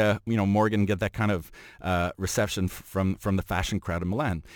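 Speaking very fast with a Montreal accent, a man's fairly low voice comes through a very clean, dry, close recording with a silent background and no echo. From Montreal, Quebec. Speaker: fashion journalist and photographer. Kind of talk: casual chat.

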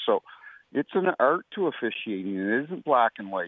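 With an unremarkable speaking voice, a man of fairly low pitch talks at a fairly quick pace using lively intonation. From New Brunswick, Canada. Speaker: retired hockey referee. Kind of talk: radio interview.

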